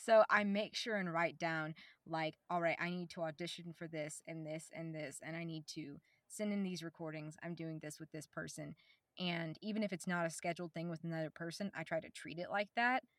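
A woman with an American accent talks at a fairly quick pace in an unremarkable speaking voice, fairly low in pitch with fairly even intonation. The sound is dry and close, with no echo. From US South, Oklahoma. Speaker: voice actor. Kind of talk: casual chat.

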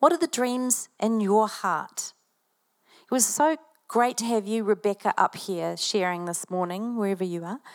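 Someone with a New Zealand accent speaks at a moderate pace with lively intonation. The sound is dry and close, with no echo. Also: woman, fairly high pitch for a woman. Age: 50s. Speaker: pastor. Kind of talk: sermon. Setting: church.

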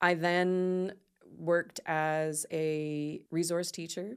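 In a very clean recording with a silent background, a woman speaks in a flat monotone at a very deep, low pitch. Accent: Nova Scotian. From Nova Scotia, Canada. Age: 40s. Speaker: business coach. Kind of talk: interview.

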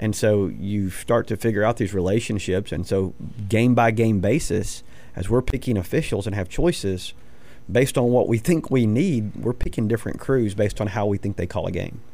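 At a moderate pace, a man with an American accent speaks in a fairly low pitch and a dark, mellow tone, with ordinary pitch variation. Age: 40s. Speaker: high school football coach. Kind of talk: sports radio interview.

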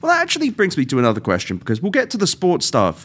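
A man speaks with a British accent. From England. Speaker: podcast host. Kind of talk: casual chat.

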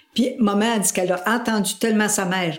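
With audible room echo, a woman speaks at a medium pitch with ordinary pitch variation. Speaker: family member interviewee. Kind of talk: interview.

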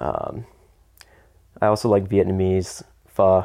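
A man with a fairly low pitch, monotone, flat intonation and a very slow pace. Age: 30s. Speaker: coffee roaster. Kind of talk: casual interview.

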